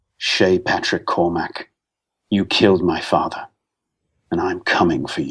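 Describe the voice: A man's put-on character voice at a moderate pace, broken by long, frequent pauses.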